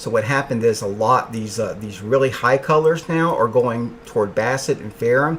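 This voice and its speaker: A man talks quietly at a moderate pace. Noticeable background noise runs under his voice. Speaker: meteorologist. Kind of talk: live weather coverage. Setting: home office.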